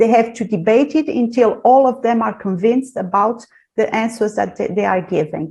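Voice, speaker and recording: A dark, mellow, somewhat breathy tone at a moderate pace, in a Portuguese accent. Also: woman. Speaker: university lecturer. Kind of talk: seminar presentation. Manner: halting.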